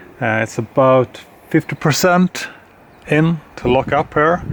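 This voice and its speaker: A man with a non-native accent and ordinary pitch variation, over noticeable background noise. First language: not English. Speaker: knife reviewer. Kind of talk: product review. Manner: halting, many fillers.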